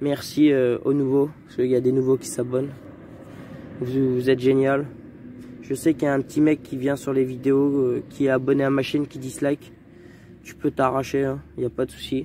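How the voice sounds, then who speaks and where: With long, frequent pauses and big swings in loudness, a man speaks at a medium pitch and moderate pace in a monotone, flat intonation over noticeable background noise. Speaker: dirt bike vlogger. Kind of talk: casual vlog. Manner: soft-spoken; halting.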